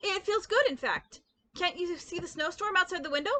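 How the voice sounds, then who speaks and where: A woman's squeaky, put-on character voice at an extremely high pitch, with lively intonation and a moderate pace. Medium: read story.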